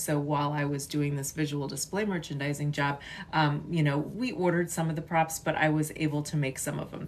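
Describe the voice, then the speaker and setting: Woman with a Chicago accent, very deep, low pitch and fairly even intonation. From US Midwest, western suburbs of Chicago. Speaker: artist and content creator. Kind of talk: casual livestream chat. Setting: livestream. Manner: halting, many fillers.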